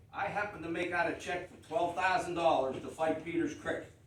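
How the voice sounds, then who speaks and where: A man speaks at a high pitch. Audible room echo and noticeable background noise surround his voice. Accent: American. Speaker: township supervisor. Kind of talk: public meeting rebuttal. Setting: township board meeting. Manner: loud; animated.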